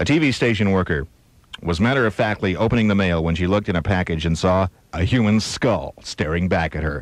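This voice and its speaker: Against a quiet background, a man talks in an ordinary speaking voice at a fairly quick pace, with a fairly low pitch and lively intonation. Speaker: radio DJ. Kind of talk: radio news-of-the-weird reading.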